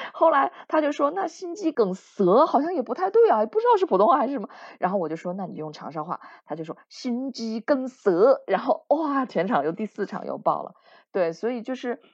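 A woman's high voice at a fairly quick pace, with very wide pitch swings and a quiet background. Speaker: theatre actor and former TV host. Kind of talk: interview chat.

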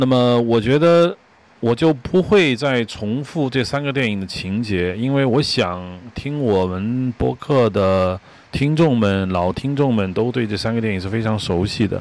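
A man with a medium-pitched voice talks fairly slowly, his intonation lively. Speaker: podcast host, screenwriter-director. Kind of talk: solo film commentary monologue. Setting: outdoors on home balcony. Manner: hesitant, filler-heavy.

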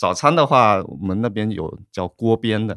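Recorded with a dry, close sound and no echo, a man speaks at a moderate pace. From Fujian, China. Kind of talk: casual chat.

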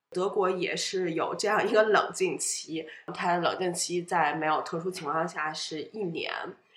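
A woman speaks fairly slowly at a medium pitch with fairly even intonation. The recording has audible room echo and noticeable background noise. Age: 30s. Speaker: podcast guest sharing divorce story. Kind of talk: personal interview.

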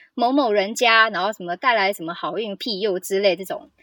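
A woman talks at a fairly quick pace, her pitch fairly high. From Taiwan, Hakka family. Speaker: podcast guest. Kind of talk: casual chat.

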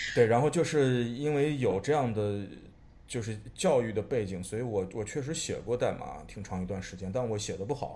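A man with a medium-pitched, somewhat breathy voice talks at a moderate pace with ordinary pitch variation, and some room echo can be heard. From China, Xi'an. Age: 30s. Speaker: artist. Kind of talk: casual chat. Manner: halting, repeats words.

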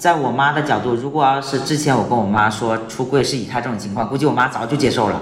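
A man speaks with a fairly high pitch. Noticeable background noise and audible room echo fill the recording. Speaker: transgender man, LGBT fertility helper. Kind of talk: casual interview. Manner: halting.

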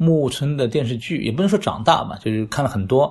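Speaking at a moderate pace against a quiet background, a man with a medium pitch sounds somewhat breathy and uses lively intonation. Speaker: flea market organizer. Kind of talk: casual interview. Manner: hesitant, many fillers.

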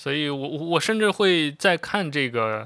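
A man speaks in a plain, everyday voice at a fairly high pitch with lively intonation. The recording is very clean with a silent background. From China, Xi'an (Shaanxi). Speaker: podcast host, TV drama commentator. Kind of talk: casual monologue. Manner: relaxed, unscripted with filler sounds.

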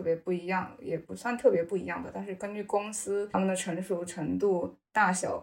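A woman with a plain, everyday voice speaks at a medium pitch and a moderate pace, her intonation fairly even. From China. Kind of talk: podcast interview.

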